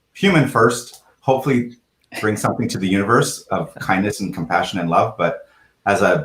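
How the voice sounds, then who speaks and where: The speech comes at a fairly quick pace with ordinary pitch variation. The voice is somewhat breathy. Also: man. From Canada. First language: French. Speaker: real estate executive. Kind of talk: casual chat.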